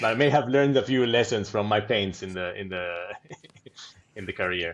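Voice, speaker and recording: A man with an Argentine accent speaks at a fairly low pitch with lively intonation. His loudness swings widely, and he takes long, frequent pauses. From Argentina. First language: Spanish. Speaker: product manager, podcast co-host. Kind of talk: casual podcast chat.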